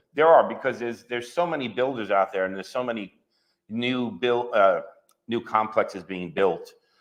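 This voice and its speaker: A voice with a New York accent moves at a fairly quick pace with ordinary pitch variation. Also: man, medium pitch for a man. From New York, Long Island. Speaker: real estate agent. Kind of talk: interview. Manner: hesitant, many fillers and repeats.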